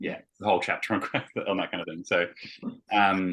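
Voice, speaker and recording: The speech is mumbled, with a bright, sharp tone. Its intonation is monotone and flat, and the background is quiet. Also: man. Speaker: vet educator. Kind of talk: teaching discussion. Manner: mumbling.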